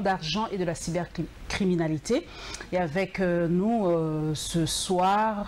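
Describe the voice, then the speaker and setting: Against noticeable background noise, a woman at medium pitch speaks with very even loudness and ordinary pitch variation. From DR Congo. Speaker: TV show host. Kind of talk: TV interview; reading guest's bio aloud.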